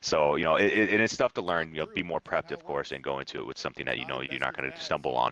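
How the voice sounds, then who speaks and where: A man talks at a very fast pace in an animated tone with hardly any pauses, his voice dry and close with no echo over noticeable background noise. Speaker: streamer. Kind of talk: casual chat. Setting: voice chat on Discord.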